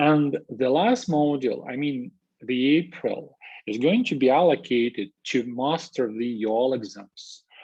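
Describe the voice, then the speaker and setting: A man with a Russian accent at a fairly slow pace, with ordinary pitch variation and a quiet background. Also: medium pitch for a man. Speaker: university lecturer. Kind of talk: lecture. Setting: video call. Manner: halting, many fillers.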